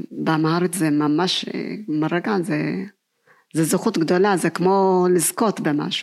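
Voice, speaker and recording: Delivered at a very slow pace in an Ethiopian accent, the speech has fairly even intonation and very even loudness. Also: woman, fairly low pitch for a woman. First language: Amharic (speaking Hebrew). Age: 50s. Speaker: kindergarten teacher and author. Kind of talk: personal testimony.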